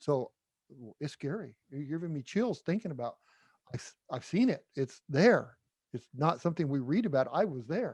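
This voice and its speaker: At a moderate pace, a somewhat breathy voice moves through very wide pitch swings and big swings in loudness, with a dry, close sound and no echo. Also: man, fairly high pitch for a man. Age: 60s. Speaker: podcast host. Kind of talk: interview.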